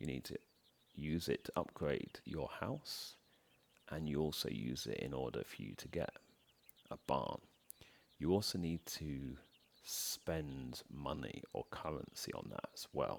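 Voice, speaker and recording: Very deep and low in pitch with vocal fry, a man speaks at a fairly slow pace with ordinary pitch variation and long, frequent pauses. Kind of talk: soft-spoken ASMR gaming commentary. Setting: home recording, voiceover over gameplay.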